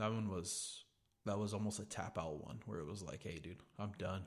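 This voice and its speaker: A man with a normal speaking voice talks fairly quickly in an American accent, his fairly low pitch showing ordinary variation. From California, Gonzales. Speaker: podcast guest. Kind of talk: casual chat.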